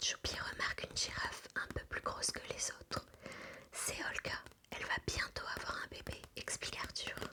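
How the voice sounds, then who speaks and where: A woman whispers over noticeable background noise. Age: 20s. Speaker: ASMR creator. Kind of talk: children's story reading aloud. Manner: whispered, soft-spoken, slow.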